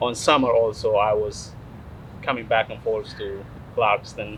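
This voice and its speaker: There is noticeable noise in the background. Over it, a man speaks fairly slowly. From Eritrea. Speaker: city councilman. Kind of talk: interview. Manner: hesitant, many fillers.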